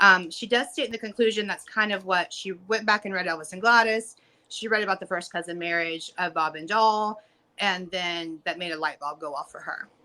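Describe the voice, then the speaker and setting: This woman talks fairly quickly in a bright, sharp tone at a medium pitch, with ordinary pitch variation and big swings in loudness. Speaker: guest with surgical medical training. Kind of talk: casual interview discussion.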